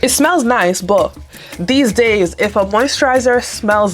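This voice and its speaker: The voice has ordinary pitch variation. Music can be heard in the background. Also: woman. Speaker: beauty and lifestyle vlogger. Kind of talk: makeup tutorial. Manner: fast; casual, chatty.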